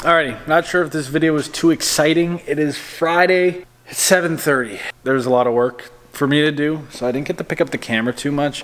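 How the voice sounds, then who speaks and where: Ordinary pitch variation at a fairly quick pace, with noticeable background noise. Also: man, fairly high pitch for a man. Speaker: van conversion shop owner, vlogger. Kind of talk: casual vlog talk to camera. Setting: van conversion shop. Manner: casual with many fillers.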